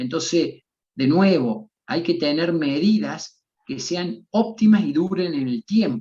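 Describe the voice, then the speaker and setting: A man's high-pitched voice with a dark, mellow tone, lively intonation and a very slow pace. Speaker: physician and bioethics expert. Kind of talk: interview answers in an online seminar.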